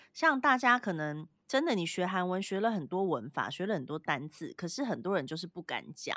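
Bright and sharp in tone, a woman talks at a fairly quick pace with very wide pitch swings and hardly any pauses, in a very clean recording with a silent background. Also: medium pitch for a woman. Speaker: podcast co-host. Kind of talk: casual chat.

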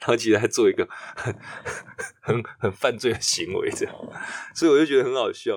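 A man talks at a moderate pace. His pauses are long and frequent. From Taiwan, Chiayi. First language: Taiwanese Hokkien (speaking Chinese). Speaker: theatre director. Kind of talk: casual interview chat.

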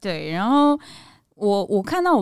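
On a very clean recording with a silent background, a woman is heard. She speaks in a medium pitch. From Taiwan, Kaohsiung. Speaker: actress and podcast co-host. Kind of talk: casual chat.

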